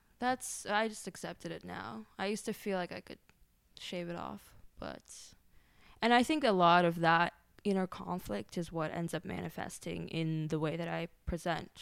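A woman with an ordinary speaking voice talks at a moderate pace and a fairly low pitch. Her intonation is lively and her loudness swings widely, on a very clean recording with a silent background. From grew up outside the US, immigrant background. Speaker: creative technologist and XR artist. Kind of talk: casual interview conversation.

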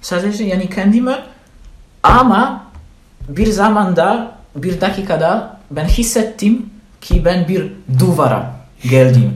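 With audible room echo, a man with a high pitch and lively intonation speaks very slowly, leaving long, frequent pauses. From Poland. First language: Polish (speaking Turkish). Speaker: language student. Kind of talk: casual interview. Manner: halting, many fillers.

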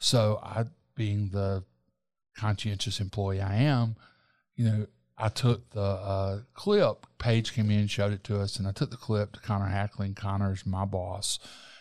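A man's fairly low voice with a Southern US accent, flat and monotone in intonation. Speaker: talk show host and journalist. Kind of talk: casual interview.

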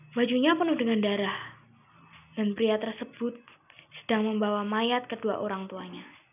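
Long, frequent pauses break up speech at a moderate pace with ordinary pitch variation, and noticeable background noise runs underneath. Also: woman, fairly high pitch for a woman. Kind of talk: ghost story telling, creepypasta read aloud.

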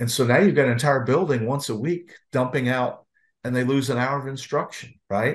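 A man speaks at a fairly quick pace with a medium pitch and a somewhat breathy voice. The background is quiet. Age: 60s. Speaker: former school district police chief, safety consultant. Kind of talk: webinar discussion.

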